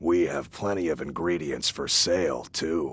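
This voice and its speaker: The speaker puts on a raspy character voice. Intonation stays fairly even. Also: man, very deep, low pitch for a man, moderate pace. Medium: video game. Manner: terse, folksy.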